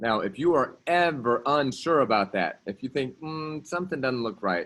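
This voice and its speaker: In a very clean recording with a silent background, a man speaks. His intonation is lively. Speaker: math teacher. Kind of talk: classroom lecture. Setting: classroom. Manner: fast.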